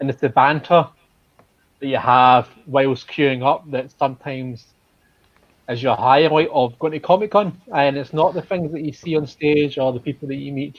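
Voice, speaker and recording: A man speaks with a strong Glaswegian accent. His pitch is fairly high and his intonation fairly even. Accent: Glasgow accent, strong. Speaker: convention fan group member. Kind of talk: casual chat.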